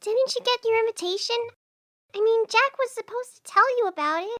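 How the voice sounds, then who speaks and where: A woman puts on a squeaky character voice at an extremely high pitch. She talks at a fairly quick pace in a dry, close sound with no echo. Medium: audio drama. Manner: hesitant, soft-spoken.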